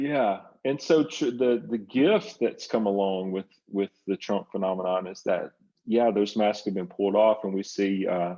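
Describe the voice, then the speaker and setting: Speaking with a Southern US accent, a man uses a fairly low pitch, ordinary pitch variation and a moderate pace. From US South. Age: 60s. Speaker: psychotherapist and writer. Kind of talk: interview conversation.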